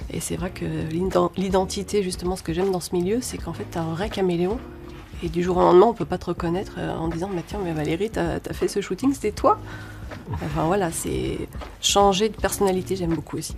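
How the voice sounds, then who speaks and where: Music plays in the background as the speaker goes at a fairly quick pace. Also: woman. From France, Lyon. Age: 40s. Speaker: actress and model. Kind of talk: interview. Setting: studio. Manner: hesitant, many fillers.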